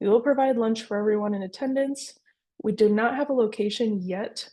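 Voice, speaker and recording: A woman's fairly high voice carries a dark, mellow tone and fairly even intonation. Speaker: community program coordinator. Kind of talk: webinar presentation. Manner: fast.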